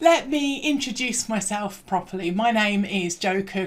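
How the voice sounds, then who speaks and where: In a British accent, this somewhat breathy voice moves at a fairly slow pace with an upbeat tone and ordinary pitch variation. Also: woman. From England. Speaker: learning and development trainer. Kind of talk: recorded presentation.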